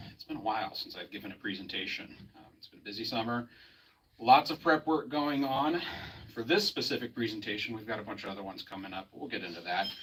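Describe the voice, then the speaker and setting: A man talks at a very fast pace with a medium pitch. His loudness swings widely. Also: lively intonation. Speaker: geology lecturer. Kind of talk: public presentation. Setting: museum with live audience.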